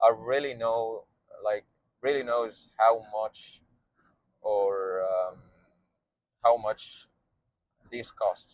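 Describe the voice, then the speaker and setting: In a dry, close sound with no echo, a man speaks at a very slow pace. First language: Arabic. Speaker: vlogger and beverage entrepreneur. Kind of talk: casual vlog monologue. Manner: halting, many fillers.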